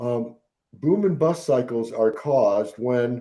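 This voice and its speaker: This is a man's voice at a medium pitch. The tone is dark and mellow. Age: 70s. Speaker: economist and author. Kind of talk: interview. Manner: halting.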